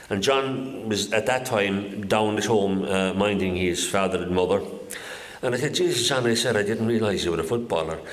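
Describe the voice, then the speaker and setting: Heard through audible room echo and noticeable background noise, the speaker has a Kerry accent, very even loudness, a moderate pace and ordinary pitch variation. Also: man, fairly low pitch for a man. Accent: Kerry Irish. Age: 70s. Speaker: local historian giving a talk. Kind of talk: public talk to an audience.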